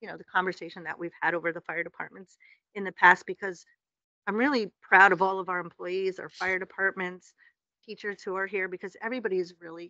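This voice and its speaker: The voice runs at a very fast pace with fairly even intonation and a bright, sharp tone, recorded dry and close with no echo. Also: woman. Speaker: city official. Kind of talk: public meeting presentation.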